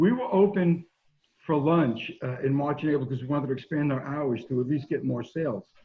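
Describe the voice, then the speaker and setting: At a fairly quick pace, a man speaks in a plain, everyday voice with ordinary pitch variation. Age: 60s. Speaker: pizzeria owner. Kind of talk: interview.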